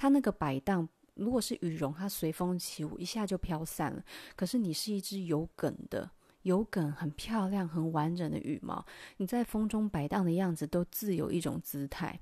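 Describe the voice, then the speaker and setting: A woman talks at a moderate pace in a dark, mellow tone with fairly low pitch. Very clean recording, silent background. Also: ordinary pitch variation. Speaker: podcast host. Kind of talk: solo music commentary.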